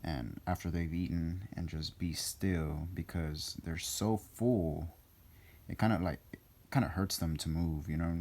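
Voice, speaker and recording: A man with a very deep, low pitch, a dark, mellow tone and fairly even intonation. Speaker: animal hobbyist. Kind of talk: casual talk to camera. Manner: hesitant, many fillers.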